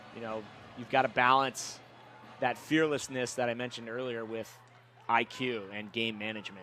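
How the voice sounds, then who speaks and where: A man at a medium pitch and moderate pace, with fairly even intonation, big swings in loudness and long, frequent pauses. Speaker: color commentator, professional lacrosse player. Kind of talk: live sports commentary. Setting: press box at stadium.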